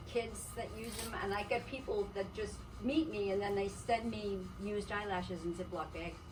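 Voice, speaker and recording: A woman talks at a moderate pace and medium pitch. Audible room echo and noticeable background noise fill the recording. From Canada. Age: 70s. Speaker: artist and vendor. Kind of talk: casual chat.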